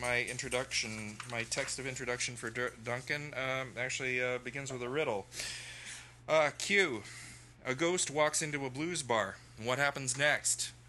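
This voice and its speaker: This man's medium-pitched voice has a bright, sharp tone, fairly even intonation and a moderate pace. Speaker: open mic organizer and poet. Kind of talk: event hosting. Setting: stage with audience. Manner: halting.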